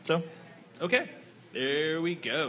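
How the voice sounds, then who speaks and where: A man speaks with an American accent. His voice is high, with noticeable background noise. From Texas. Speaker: kickball podcast host. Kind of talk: casual chat. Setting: live in a bar with audience.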